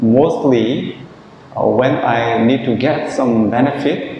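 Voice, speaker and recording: A man with a Korean accent, medium pitch and fairly even intonation, plus audible room echo and noticeable background noise. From South Korea. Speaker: Buddhist monk. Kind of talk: dharma talk. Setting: monastery. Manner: halting.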